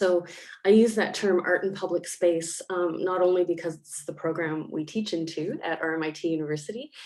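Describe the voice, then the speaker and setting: A woman with a Canadian accent and a plain, everyday voice speaks at a fairly quick pace and a fairly low pitch, her intonation fairly even but her loudness swinging widely. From Canada. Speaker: academic panelist. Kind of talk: panel discussion.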